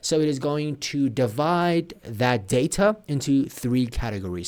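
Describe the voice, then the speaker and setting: A man with a Persian accent speaks at a moderate pace, and his intonation is lively. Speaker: programming tutor. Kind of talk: tutorial.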